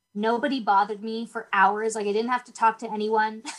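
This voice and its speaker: A woman with a Canadian accent and a plain, everyday voice speaks at a moderate pace. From northern Ontario, Canada. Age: young. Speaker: youth theater director and author. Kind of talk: interview.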